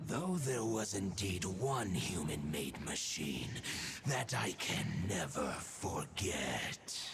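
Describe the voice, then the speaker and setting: Putting on a character voice, a man speaks very deep and low at a fairly slow pace, with clear background noise behind him. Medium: machinima. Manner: solemn, measured.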